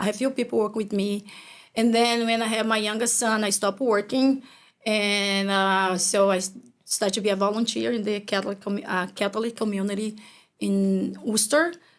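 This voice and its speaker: A woman with a Brazilian accent talks at a fairly quick pace, her intonation fairly even. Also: medium pitch for a woman, very clean recording, silent background. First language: Portuguese. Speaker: business owner. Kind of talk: interview conversation. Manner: halting.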